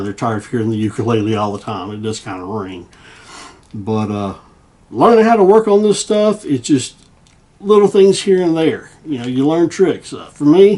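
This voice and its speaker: Pitch swings very widely in this man's voice. His pace is fairly quick. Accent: Southern US. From US South, Tennessee. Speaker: guitar repair hobbyist and YouTuber. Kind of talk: casual vlog chat. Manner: halting, repetitive fillers.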